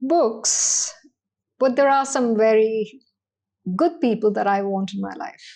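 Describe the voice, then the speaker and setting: A woman's dark, mellow voice in a Tamil accent, fairly high in pitch, with lively intonation, a fairly slow pace and long, frequent pauses. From India, army upbringing across regions. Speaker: banking executive. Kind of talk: podcast interview.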